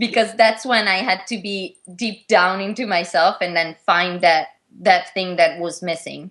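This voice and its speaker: Her Italian accent is clear as a woman speaks at a medium pitch. She goes at a fairly slow pace with fairly even intonation. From Italy. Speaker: figure skater. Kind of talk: interview. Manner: halting.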